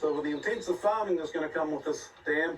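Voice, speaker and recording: Noticeable background noise sits behind a man with a New Zealand accent who speaks at a high pitch. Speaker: environmental campaigner. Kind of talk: interview on location.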